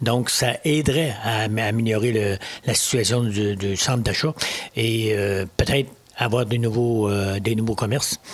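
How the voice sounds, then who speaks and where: A man with a Quebec accent speaks at a fairly slow pace, his loudness very even and his intonation fairly even. Noticeable background noise sits under his voice. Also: medium pitch for a man. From Quebec, Lower St. Lawrence (Mont-Joli). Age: 70s. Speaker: municipal election candidate. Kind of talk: interview. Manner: halting, frequent repetitions and hesitations.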